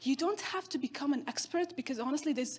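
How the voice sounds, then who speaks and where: A woman with a non-native accent speaks with ordinary pitch variation. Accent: foreign. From northern Syria, Kurdish. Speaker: keynote speaker, social entrepreneur. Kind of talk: keynote speech.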